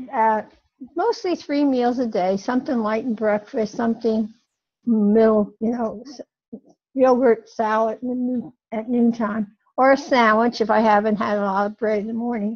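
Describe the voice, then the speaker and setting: A woman's fairly high, somewhat breathy voice at a moderate pace, with fairly even intonation. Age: 90s. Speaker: elderly interviewee. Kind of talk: interview. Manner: halting.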